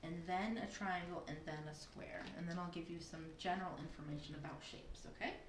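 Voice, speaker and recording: A woman's fairly low voice amid noticeable background noise and audible room echo. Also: fairly quick pace, hardly any pauses. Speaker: preschool teacher. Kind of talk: online lesson for young children. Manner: animated.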